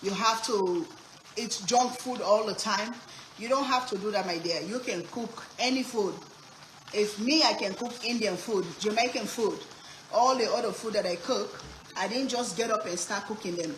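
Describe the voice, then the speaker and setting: A woman speaks at a moderate pace with a fairly high pitch and ordinary pitch variation. Noticeable background noise and audible room echo are present. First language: Sierra Leonean language. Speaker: cooking streamer. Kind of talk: live cooking stream chat. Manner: animated.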